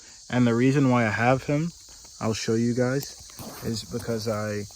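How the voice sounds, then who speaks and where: Speaking at a fairly slow pace, a man holds a medium pitch with fairly even intonation. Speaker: car-dwelling vlogger. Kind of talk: video tour of car setup. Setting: inside a car. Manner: monotone.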